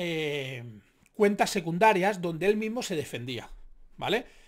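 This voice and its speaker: With an animated tone and very wide pitch swings, a man talks at a fairly slow pace. The background is quiet. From Spain. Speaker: youtuber commentator. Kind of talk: casual commentary monologue; reading news article aloud. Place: home room.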